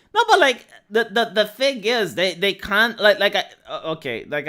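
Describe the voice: The tone is bright and sharp on a very clean recording with a silent background.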